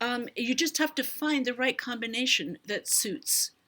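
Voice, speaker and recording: On a very clean recording with a silent background, a woman with a fairly high pitch speaks in a bright, sharp tone with vocal fry. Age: 70s. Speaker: beauty vlogger. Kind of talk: livestream tutorial with Q&A. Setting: live stream.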